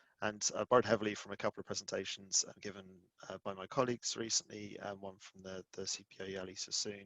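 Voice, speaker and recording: Mumbling at a very fast pace, a man speaks in a monotone, flat intonation. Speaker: tech company engineering executive. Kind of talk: conference talk. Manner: mumbling, long sentences; hesitant, many fillers.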